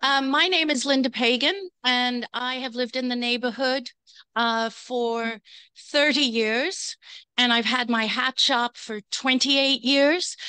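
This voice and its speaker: Fairly slow and bright, the voice has a sharp tone and ordinary pitch variation. The sound is dry and close with no echo, over a quiet background. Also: woman, high pitch for a woman. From Europe. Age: 60s. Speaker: hat shop owner, public commenter. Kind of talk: public comment at community meeting. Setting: community board meeting.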